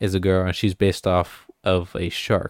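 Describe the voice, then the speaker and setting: In a Texan accent, a man speaks on a very clean recording with a silent background. The sound is dry and close, with no echo. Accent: Texan with Hawaiian roots. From Hawaii. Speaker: podcast guest and FedEx worker. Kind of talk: casual chat. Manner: casual, filler-heavy.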